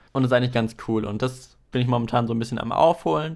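Medium-pitched and very fast, a man talks with fairly even intonation. The recording is very clean, with a silent background. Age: 20s. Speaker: podcast host and video editor. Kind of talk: solo podcast monologue, casual.

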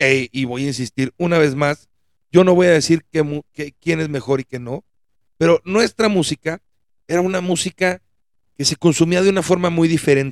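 Fairly high in pitch, a man talks with a Mexican accent at a moderate pace. His pitch varies in an ordinary way in a dry, close sound with no echo. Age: 40s. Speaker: podcast host. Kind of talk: solo monologue podcast.

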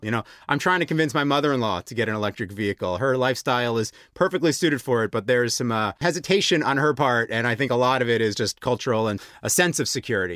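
Over a silent background in a very clean, dry and close recording with no echo, a man with an American accent and medium pitch talks at a very fast pace with ordinary pitch variation. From United States. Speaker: podcast host, communications director. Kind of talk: podcast hosting, intro and interview. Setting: recording in Bratislava.

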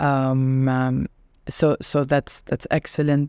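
In a very clean recording with a silent background and a dry, close sound with no echo, a woman speaks very slowly at a very deep, low pitch, her dark, mellow tone monotone and flat. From Lebanon. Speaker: person living with multiple sclerosis. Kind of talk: interview testimony. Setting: studio.

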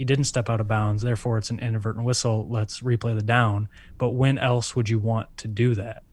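A man speaks at a fairly quick pace with a medium pitch and monotone, flat intonation. His voice is somewhat breathy, on a very clean recording with a silent background. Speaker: podcast co-host. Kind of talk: casual chat.

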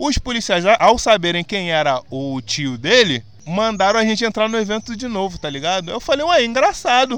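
With an animated tone, a man talks at a medium speed. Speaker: podcast host. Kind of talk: casual chat. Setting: outdoors.

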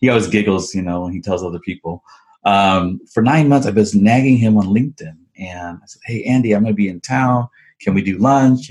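This man has an unremarkable speaking voice and a fairly low pitch. He talks fairly quickly, with ordinary pitch variation. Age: 40s. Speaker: entrepreneur, coffee brand and restaurant franchise owner. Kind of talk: interview.

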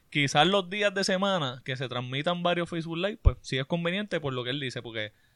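An ordinary speaking voice from a man, fairly high-pitched, at a fairly quick pace with ordinary pitch variation. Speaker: sports podcast co-host. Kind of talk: casual chat.

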